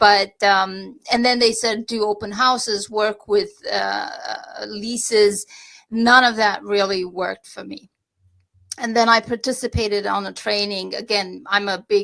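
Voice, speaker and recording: A woman with a Romanian accent speaks fairly slowly at a medium pitch in a bright, sharp tone with monotone, flat intonation. The recording is very clean, with a silent background. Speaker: real estate agent. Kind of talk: podcast interview. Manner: halting.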